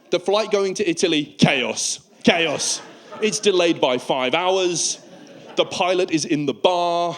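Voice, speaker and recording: A man with a British accent speaks very slowly in a high pitch, with ordinary pitch variation. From United Kingdom. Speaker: stand-up comedian. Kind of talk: stand-up comedy performance.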